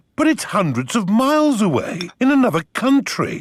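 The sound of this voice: A man uses a cartoonish character voice at an extremely high pitch in a very clean recording with a silent background. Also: moderate pace.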